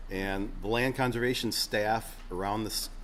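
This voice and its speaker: Audible room echo fills this recording. A man speaks at a fairly slow pace. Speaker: state agriculture official. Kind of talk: conference presentation with Q&A.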